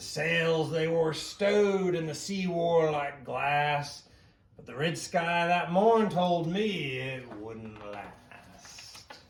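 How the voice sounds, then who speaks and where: A man puts on a character voice, pitched fairly high and delivered at a very slow pace. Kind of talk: rhyming bedtime story, pirate style. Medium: read story. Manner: hearty, chuckling.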